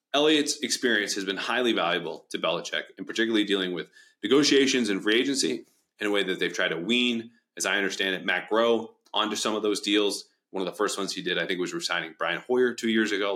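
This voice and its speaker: Very fast speech from a man, fairly low-pitched with a bright, sharp tone and ordinary pitch variation, on a very clean recording with a silent background. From New England. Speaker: podcast host. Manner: fast talker.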